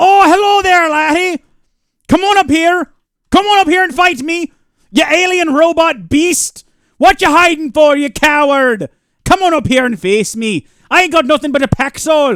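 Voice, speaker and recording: Delivered at a moderate pace, the speech comes in a put-on character voice. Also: man, extremely high pitch for a man. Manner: taunting, defiant.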